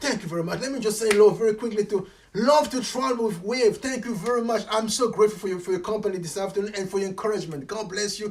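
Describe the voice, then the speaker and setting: A man speaks very fast in an animated tone, his voice high-pitched, with noticeable noise in the background. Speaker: motivational coach. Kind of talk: live stream chat. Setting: livestream.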